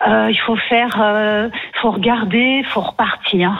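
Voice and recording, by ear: Here is a woman at a medium pitch. Her intonation stays fairly even. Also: fairly slow pace.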